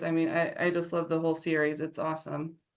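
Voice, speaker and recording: A woman with an ordinary speaking voice, fairly low in pitch, talks at a fairly quick pace with an American accent. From Ohio, near Cleveland. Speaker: dating show contestant. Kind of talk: casual chat.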